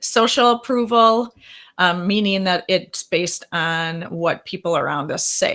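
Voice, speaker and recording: A woman speaks at a fairly slow pace with ordinary pitch variation and a medium pitch. Her tone is bright and sharp, on a very clean recording with a silent background. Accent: strong Wisconsin. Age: 40s. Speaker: therapist. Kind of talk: workshop presentation.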